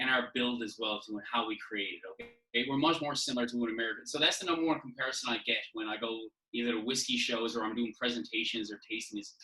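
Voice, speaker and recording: Speaking very fast with a Newfoundland accent, a man uses a medium pitch and ordinary pitch variation. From Newfoundland, St. John's. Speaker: whisky brand representative. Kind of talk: casual podcast chat. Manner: animated.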